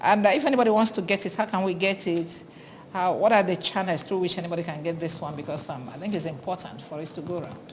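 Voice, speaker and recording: Very fast, somewhat breathy speech from a woman with a Nigerian accent, medium pitch and ordinary pitch variation. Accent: Nigerian Igbo English. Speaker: TV morning show host. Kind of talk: TV interview.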